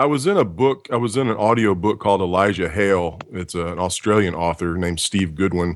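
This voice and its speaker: On a very clean recording with a silent background, a man with an American accent talks at a fairly quick pace in a very deep, low pitch. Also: ordinary pitch variation, hardly any pauses. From Texas. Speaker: voice actor. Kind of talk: interview.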